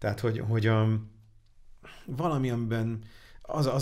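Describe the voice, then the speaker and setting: With ordinary pitch variation, this man moves along at a fairly quick pace. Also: quiet background. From Hungary. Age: 40s. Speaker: angel investor; interview guest. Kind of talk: interview. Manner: halting. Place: studio. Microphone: studio mic.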